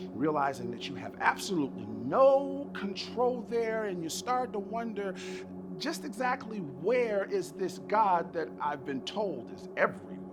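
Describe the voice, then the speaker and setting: The talking is fairly slow. Behind it, music can be heard. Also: man. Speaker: spoken word poet. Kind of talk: spoken word poetry performance.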